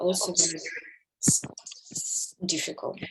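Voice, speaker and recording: With music in the background, a woman with a Russian accent speaks at medium pitch and a fairly slow pace. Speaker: course participant. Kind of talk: group discussion in online class. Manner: halting, many hesitations.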